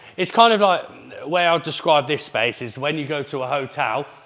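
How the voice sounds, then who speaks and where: This is a man talking at a moderate pace. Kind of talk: casual tour commentary. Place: gym.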